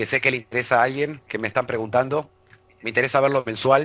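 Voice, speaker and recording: Bright and sharp in tone, a man speaks at a medium pitch with fairly even intonation. His pace is very fast. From Uruguay. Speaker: financial market analyst. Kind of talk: online webinar presentation. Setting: live online broadcast.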